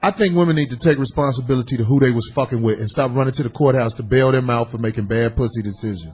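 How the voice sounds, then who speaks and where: Talking at a very fast pace, a man with a medium-pitched, somewhat breathy voice shows ordinary pitch variation. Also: hardly any pauses. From Texas. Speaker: radio show host. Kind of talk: call-in radio talk. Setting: radio studio, live venue.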